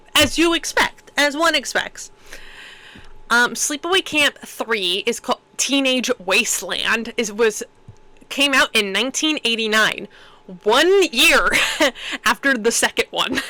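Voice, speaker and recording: Through noticeable background noise, a woman projects a raised, high-pitched voice with lively intonation and very even loudness. She speaks at a fairly slow pace with long, frequent pauses. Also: dry, close sound with no echo. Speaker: movie podcast co-host. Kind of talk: casual chat.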